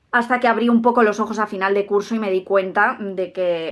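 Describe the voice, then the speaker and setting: In a very clean recording with a silent background, a woman speaks in an animated tone at a fairly high pitch. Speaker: youtuber on giftedness. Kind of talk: personal vlog monologue. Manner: careful articulation.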